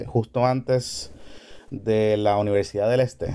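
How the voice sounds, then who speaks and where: A man talks with a dark, mellow tone and fairly even intonation. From Puerto Rico, Carolina. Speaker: radio host and podcaster. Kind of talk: casual chat.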